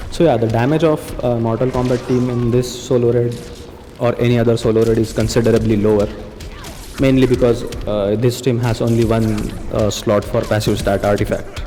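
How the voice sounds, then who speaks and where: This man speaks at a fairly quick clip in a flat monotone, his loudness very even, with noticeable noise in the background. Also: medium pitch for a man. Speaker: gaming YouTuber. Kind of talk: gameplay commentary. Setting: recording at work. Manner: quieter than usual; casual, with filler words.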